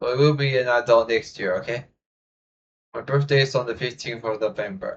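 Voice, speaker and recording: Somewhat breathy, a man speaks at a fairly quick pace and a medium pitch with fairly even intonation. He leaves long, frequent pauses. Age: young. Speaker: YouTube reaction creator. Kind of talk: casual reaction video outro. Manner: halting, many fillers.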